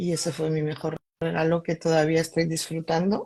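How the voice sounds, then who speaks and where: A woman's fairly low voice at a fairly slow pace. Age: 60s. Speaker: doctor and alternative therapist. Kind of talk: testimony.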